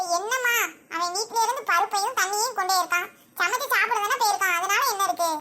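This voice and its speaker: A squeaky, put-on character voice at an extremely high pitch and a moderate pace. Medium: comedy sketch. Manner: indulgent, affectionate.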